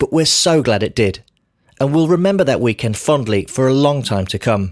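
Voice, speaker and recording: A British-accented man at medium pitch, lively in intonation and moderate in pace, on a very clean, dry, close recording with a silent background and no echo. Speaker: podcast host. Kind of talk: scripted narration.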